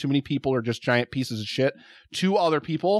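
A plain, everyday voice from a man, fairly high-pitched for a man, with lively intonation and a fairly quick pace, on a very clean recording with a silent background and a dry, close sound with no echo. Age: 40s. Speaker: podcaster, food show host. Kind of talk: casual chat.

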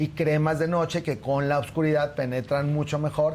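Somewhat breathy, this man's voice rides at a fairly high pitch. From Torreón, Mexico. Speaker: dermatologist. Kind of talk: tutorial.

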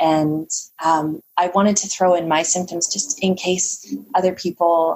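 A woman's normal speaking voice at a fairly low pitch, fairly slow in pace, with very even loudness and ordinary pitch variation. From Canada. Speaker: holistic nutritionist. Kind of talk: interview conversation.

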